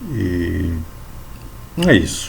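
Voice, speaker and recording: Audible room echo surrounds a man's voice. There is noticeable background noise too. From São Paulo, Brazil (born in Bahia). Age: 60s. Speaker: lay evangelical preacher. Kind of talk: religious talk to camera.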